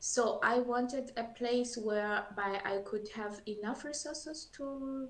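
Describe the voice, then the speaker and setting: In a French accent, a woman speaks with a fairly high pitch. Her intonation stays fairly even. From Burundi. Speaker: scientist. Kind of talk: interview. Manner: halting.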